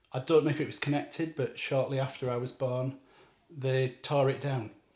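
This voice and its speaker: Speaking at a moderate pace, a man with a Yorkshire accent has a medium pitch, a flat, monotone delivery and a somewhat breathy sound. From northern England, North Yorkshire. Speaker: guest. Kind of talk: casual chat.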